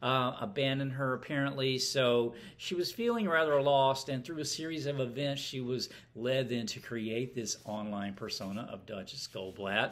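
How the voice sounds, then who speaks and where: Moderate pace and ordinary pitch variation from a male speaker. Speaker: book reviewer. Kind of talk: casual book review chat. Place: home room. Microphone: phone near.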